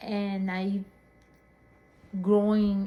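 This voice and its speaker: Somewhat breathy, a woman speaks in a dark, mellow tone with a medium pitch and a monotone, flat intonation. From northern Peru, Chiclayo. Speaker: interviewee, family member. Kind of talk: casual interview. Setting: at home. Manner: halting.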